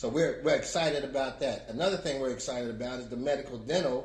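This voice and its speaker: Fairly high in pitch and somewhat breathy, a man speaks at a fairly quick pace with ordinary pitch variation and audible room echo. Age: 70s. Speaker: community advocate. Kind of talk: testimony. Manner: halting.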